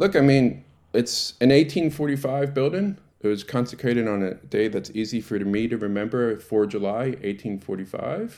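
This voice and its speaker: In a Baltimore accent, a man speaks at medium pitch with lively intonation. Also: moderate pace. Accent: American, Baltimore. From US, Baltimore. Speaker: president of a synagogue congregation. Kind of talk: interview. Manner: halting, many fillers.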